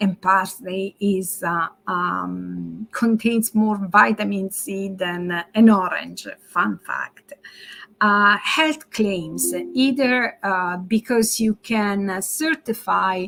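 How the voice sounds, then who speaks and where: A woman with an Italian accent at a very slow pace, music in the background. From Italy. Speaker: marketing strategist. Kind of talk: webinar presentation. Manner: halting, many fillers.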